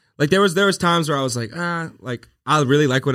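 Over a silent background on a very clean recording, a man speaks with a Southern US accent. His pace is fairly quick, and his pitch varies in an ordinary way. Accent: Southern US, country. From Louisiana. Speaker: social media creator. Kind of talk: casual chat.

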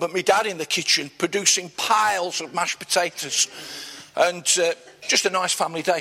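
A man's high voice in an East Midlands accent, at a moderate pace with fairly even intonation, over noticeable background noise. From Nottingham, England. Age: 60s. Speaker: church leader. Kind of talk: interview before a live church audience. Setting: church event with audience.

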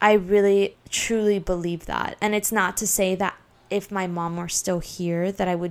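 In a very clean recording with a silent background, a woman at medium pitch talks at a fairly slow pace with flat, monotone intonation. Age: 20s. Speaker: solo podcast host. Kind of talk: casual monologue. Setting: recording in bed at home.

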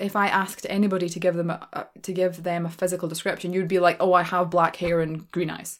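A woman's very fast, flat, monotone delivery with hardly any pauses. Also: fairly low pitch for a woman. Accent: Glaswegian. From Scotland, Glasgow. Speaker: podcast host and storyteller. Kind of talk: casual Q&A monologue. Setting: small room at home, some echo. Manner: quiet, soft-spoken; frequent laughter.

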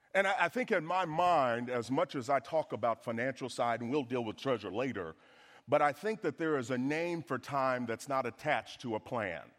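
On a very clean recording with a silent background, a man speaks with a Southern US accent. His pitch is medium and his tone animated. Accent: Southern American. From US South. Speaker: guest preacher, financial speaker. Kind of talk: sermon. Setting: church with congregation.

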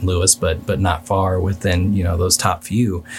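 A man speaks at a moderate pace with a very deep, low pitch and fairly even intonation, in a Midwestern American accent. Music plays in the background. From Kansas City, Missouri (East Side). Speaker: city council candidate. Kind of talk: interview.

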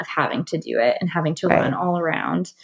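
At a moderate pace, a plain, everyday voice speaks with an American accent. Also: woman. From US South, North Carolina. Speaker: event stylist and planner. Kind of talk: casual interview chat. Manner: casual, many filler words.

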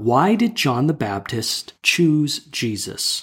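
Very wide pitch swings run through a man's somewhat breathy voice. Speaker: bible study podcast co-host. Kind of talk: scripted narration.

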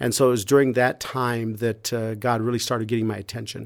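The recording is very clean, with a silent background. A man with a medium pitch speaks at a fairly quick pace in a monotone, flat intonation. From US Midwest, rural Iowa. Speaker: pastor and nonprofit founder. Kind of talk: testimony.

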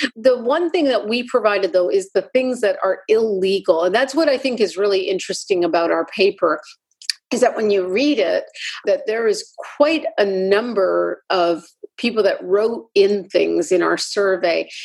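Lively intonation at a moderate pace. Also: woman, medium pitch for a woman. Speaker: cardiologist. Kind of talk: interview conversation. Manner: soft-spoken.

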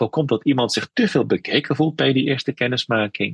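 A man's medium-pitched voice with vocal fry and lively intonation, in a dry, close sound with no echo. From Netherlands, North Brabant (Veghel), Turkish roots. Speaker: spiritual caregiver and imam. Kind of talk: interview.

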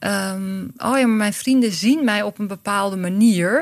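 This woman has an ordinary speaking voice. Her pitch is fairly high, with ordinary pitch variation. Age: 50s. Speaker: director of a workshop school. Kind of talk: interview conversation.

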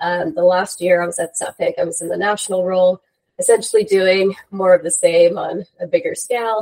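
An American accent with fairly even intonation, in a dry, close sound with no echo. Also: woman. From New York. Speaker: construction technology consultant. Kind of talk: interview.

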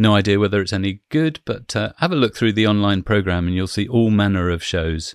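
At a fairly quick pace, a man talks in an unremarkable speaking voice pitched fairly low. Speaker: podcast host. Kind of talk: casual chat.

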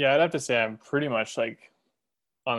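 A man is speaking. He has an American accent. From Montana. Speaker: bird artist and illustrator. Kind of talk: casual group chat. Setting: video call.

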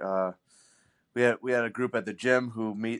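Dry, close sound with no echo, a man at a moderate pace in a monotone, flat intonation. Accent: American. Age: 40s. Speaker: retired pro hockey player, CrossFit masters athlete. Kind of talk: casual interview.

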